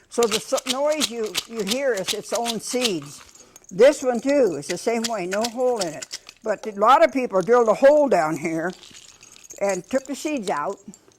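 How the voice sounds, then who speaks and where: A woman with a fairly high pitch and lively intonation at a moderate pace, over noticeable background noise. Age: old. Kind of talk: classroom talk to children. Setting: elementary school classroom. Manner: informal, halting with restarts.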